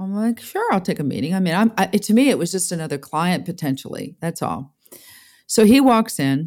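In a New York accent, a woman talks at a fairly quick pace, her medium-pitched voice full of lively intonation. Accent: New York American. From upstate New York, US. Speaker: music business executive. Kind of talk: interview.

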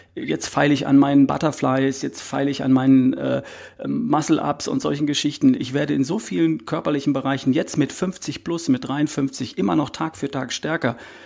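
There's vocal fry in this man's fairly high voice. His pitch varies in an ordinary way at a moderate pace. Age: 50s. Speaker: health coach. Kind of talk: interview.

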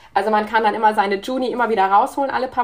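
A woman with a fairly high pitch and an unremarkable speaking voice. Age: 30s. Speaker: emergency physician. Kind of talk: interview.

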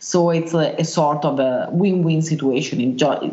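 The speaker has an Italian accent and fairly even intonation. Audible room echo and noticeable background noise are present. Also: woman. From Italy, Milan. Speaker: wilderness tracker and survival instructor. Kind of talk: interview. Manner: hesitant, many filler sounds.

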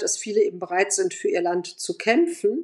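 At a moderate pace and with ordinary pitch variation, a woman talks in a plain, everyday voice against a quiet background. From Germany (Bonn) and Moscow. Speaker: journalist and editor, Eastern Europe expert. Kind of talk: interview.

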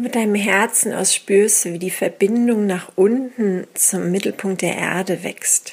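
A woman speaks at a fairly slow pace with hardly any pauses, her medium-pitched voice gentle and calm in tone, with fairly even intonation. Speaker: meditation guide and teacher. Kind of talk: guided meditation. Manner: very slow, calm, soothing, with long pauses; intuitive, gentle, unhurried.

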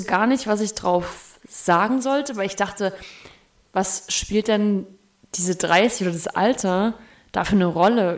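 Using a normal speaking voice, this speaker moves fairly slowly, the pitch varying by an ordinary amount. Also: woman. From Thuringia, Germany (Erfurt). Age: 30s. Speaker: DJ and musician. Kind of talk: casual chat.

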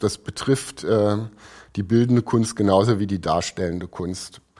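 A man's dark, mellow tone with fairly even intonation, in a very clean recording against a silent background. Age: 50s. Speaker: architect and concert subscriber. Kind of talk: podcast interview. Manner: halting, many fillers.

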